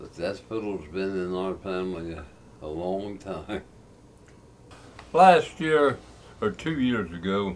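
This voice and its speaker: In an Appalachian accent, a man with a very deep, low voice talks very slowly, pausing long and often. His intonation is lively and his loudness swings a lot. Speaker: old-time fiddler. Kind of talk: casual storytelling.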